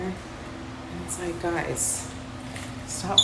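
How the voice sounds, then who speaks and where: A woman whispers over noticeable background noise in a room with audible echo. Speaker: vlogger. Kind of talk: casual vlog talk to camera. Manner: chatty, casual; whispering.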